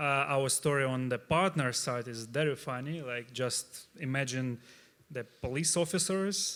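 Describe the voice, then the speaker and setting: Speaking in a Russian accent at a fairly slow pace, a man uses a medium pitch with ordinary pitch variation. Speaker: startup CEO, panelist. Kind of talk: panel discussion. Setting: stage with audience. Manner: halting, many fillers.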